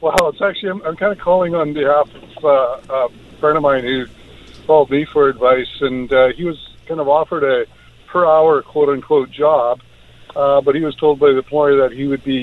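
Amid noticeable background noise, a man with a fairly high pitch keeps a moderate pace and fairly even intonation. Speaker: caller. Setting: phone call. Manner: casual, hesitant.

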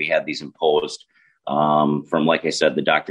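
A man speaks with a Minnesota accent. His pace is fairly quick. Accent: Minnesota, Upper Midwest. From southern Minnesota. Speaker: congressional candidate and agricultural lawyer. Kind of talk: political interview.

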